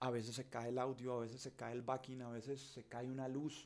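Moderate pace from a man. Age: 40s. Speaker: journalist and show host; journalist, show host. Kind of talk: live stream monologue. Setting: home studio. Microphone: studio mic.

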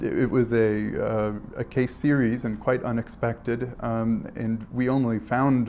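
A man with a fairly low, slightly mellow voice speaks with little pitch movement.

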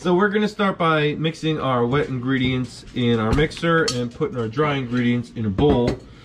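Moderate-paced speech amid noticeable background noise. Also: man. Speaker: parent host of cooking show. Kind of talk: tutorial. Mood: cheerful, relaxed. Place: kitchen. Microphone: camera far.

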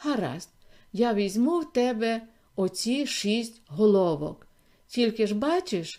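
The clip is reading aloud in a natural voice.

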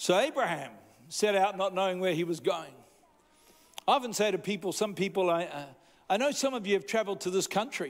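A man with a high pitch speaks at a fairly quick pace, his intonation lively.

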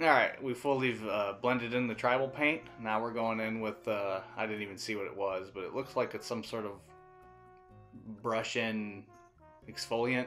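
With music playing behind him, a man speaks at a medium pitch and a moderate pace, his intonation fairly even and broken by long, frequent pauses. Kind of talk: casual, joking voiceover of a makeup tutorial.

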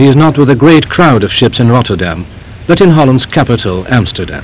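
This man's intonation is lively. He talks at a fairly quick pace. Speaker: documentary narrator. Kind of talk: documentary narration.

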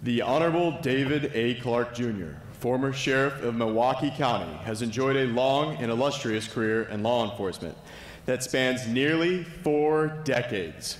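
A man's voice with ordinary pitch variation, amid audible room echo. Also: moderate pace. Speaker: speaker. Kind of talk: formal speaker introduction. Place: hall. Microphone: podium.

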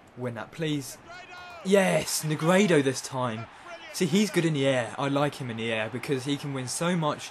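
A man at a moderate pace, animated and excited, fairly high-pitched with lively intonation, over light background noise. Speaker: gaming YouTuber. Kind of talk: excited play-by-play commentary over his own FIFA match. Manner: animated, bursts of excited cheering at goals; casual, rambling with frequent uh and um fillers. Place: home room.

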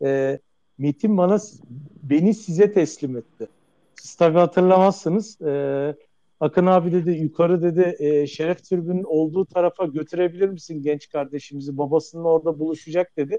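A man's high-pitched voice with a dark, mellow tone, ordinary pitch variation, big swings in loudness and a moderate pace, in a dry, close sound with no echo. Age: 40s. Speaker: caller, club member. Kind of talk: personal anecdote. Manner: halting.

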